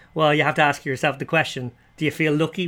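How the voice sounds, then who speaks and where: A man speaks in an Irish accent with a bright, sharp tone and fairly high pitch. His intonation stays monotone and flat. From Ireland. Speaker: poker player and podcast host, former screenwriter. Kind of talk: casual interview chat. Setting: remote call.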